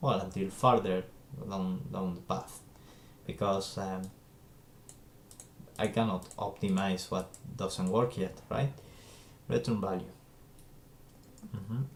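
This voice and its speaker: With a non-native accent, a man speaks at a fairly slow pace in a very deep, low pitch, using ordinary pitch variation and long, frequent pauses. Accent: non-native English, trouble with Z sound. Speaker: game developer streamer. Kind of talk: live coding stream. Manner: hesitant, many fillers.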